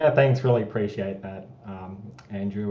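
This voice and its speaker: Fairly even in intonation and fairly low in pitch, a man speaks with an Australian accent amid audible room echo. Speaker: marketing director. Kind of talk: community town hall livestream.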